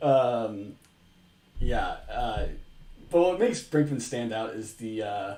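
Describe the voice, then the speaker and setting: Amid audible room echo, a man with a dark, mellow tone and medium pitch speaks very slowly with ordinary pitch variation and long, frequent pauses. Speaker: streamer. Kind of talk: casual commentary. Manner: animated.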